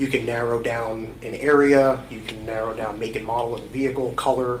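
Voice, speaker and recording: A man speaks at a fairly quick pace in monotone, flat intonation. Audible room echo and noticeable background noise surround him. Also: medium pitch for a man. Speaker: police detective testifying as witness. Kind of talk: courtroom testimony. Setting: courtroom witness stand. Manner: hesitant, many fillers; soft-spoken.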